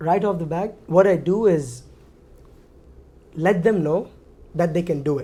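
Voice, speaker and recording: This man's voice is high-pitched with a dark, mellow tone, and he talks at a fairly slow pace with ordinary pitch variation and long, frequent pauses. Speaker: university alumnus. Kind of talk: casual chat.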